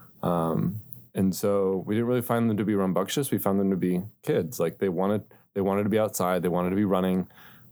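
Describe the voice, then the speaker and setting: In an American accent, a man talks at a fairly quick pace with a very deep, low pitch and a dark, mellow tone. The recording is very clean with a silent background. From northeast Ohio, Akron area. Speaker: software developer, church volunteer. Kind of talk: interview testimony.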